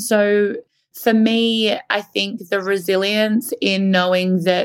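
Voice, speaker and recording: The speaker is a woman with an Australian accent. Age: 30s. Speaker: marketing agency founder. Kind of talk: interview. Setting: remote recording from Melbourne.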